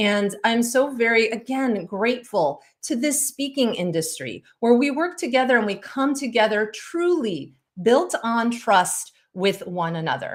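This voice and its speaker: In a very clean recording with a silent background, a woman speaks loud and passionate at a fairly slow pace, her fairly high pitch making very wide swings. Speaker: speakers bureau owner and live show host. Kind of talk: solo livestream talk. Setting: live stream.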